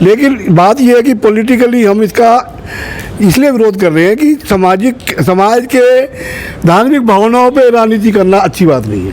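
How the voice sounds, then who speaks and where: A man's high-pitched voice with ordinary pitch variation and very even loudness, amid noticeable background noise. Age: 60s. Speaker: community leader. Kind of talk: interview.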